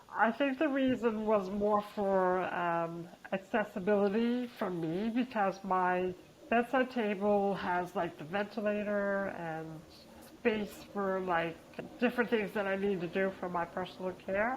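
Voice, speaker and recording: A woman has a normal speaking voice at a medium pitch. She talks at a fairly slow pace with ordinary pitch variation. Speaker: peer support facilitator. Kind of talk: casual chat interview.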